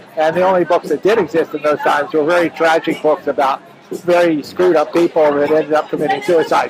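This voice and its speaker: Over music in the background, a man with an American accent talks at a very fast pace and a fairly high pitch. His intonation is flat and monotone, and his loudness stays very even. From central Pennsylvania, US. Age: 70s. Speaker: retired computer systems analyst. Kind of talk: personal testimony interview.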